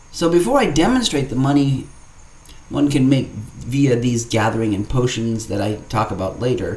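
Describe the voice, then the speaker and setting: Audible room echo surrounds a somewhat breathy man speaking at a moderate pace. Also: medium pitch for a man, ordinary pitch variation. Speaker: gaming YouTuber. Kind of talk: gameplay tutorial narration. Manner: formal; stuttering.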